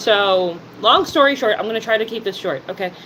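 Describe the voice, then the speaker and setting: A woman with a New Jersey accent speaks with ordinary pitch variation over noticeable background noise. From New Jersey, US. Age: 30s. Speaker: live streamer. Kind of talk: casual live stream chat.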